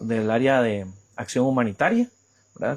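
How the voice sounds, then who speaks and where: A man talks at a moderate pace. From Costa Rica, Puriscal. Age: 30s. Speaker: journalist. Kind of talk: interview. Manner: halting.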